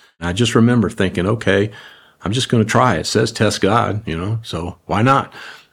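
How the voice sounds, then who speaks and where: Keeping a moderate pace, a man speaks at a fairly low pitch with ordinary pitch variation. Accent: Southern US. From US South, New Orleans. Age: 70s. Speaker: ministry communications executive. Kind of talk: faith-based interview.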